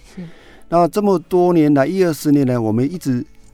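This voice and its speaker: A man speaks with lively intonation. Music plays in the background. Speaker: lung cancer physician. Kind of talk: interview.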